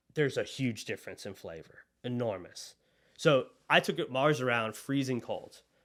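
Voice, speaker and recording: Lively intonation and big swings in loudness mark this moderately paced voice, heard on a very clean recording with a silent background. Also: man, medium pitch for a man. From US South (Monroe, Louisiana). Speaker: agency co-founder. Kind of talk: podcast interview.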